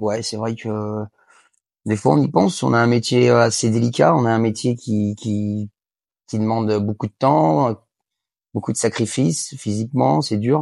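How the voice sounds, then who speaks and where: A man with fairly low pitch and lively intonation, speaking fairly slowly with long, frequent pauses. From western France, Angers. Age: 30s. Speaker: harness racing jockey and trainer. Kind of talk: interview. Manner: halting, many fillers and repetitions.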